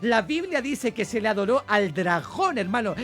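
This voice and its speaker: This man speaks with an extremely high pitch at a moderate pace. Noticeable background noise is present. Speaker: bible teacher. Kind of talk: sermon. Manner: animated.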